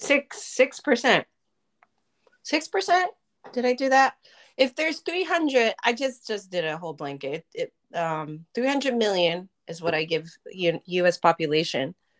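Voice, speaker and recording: A woman talks at a moderate pace with a fairly high pitch and vocal fry. Her pitch swings very widely. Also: dry, close sound with no echo. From Japan. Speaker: podcast co-host. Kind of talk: casual chat.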